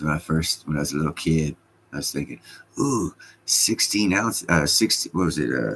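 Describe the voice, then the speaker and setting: Using vocal fry, a man speaks at a moderate pace in a very deep, low pitch. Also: lively intonation. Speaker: livestreamer. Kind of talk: casual chat.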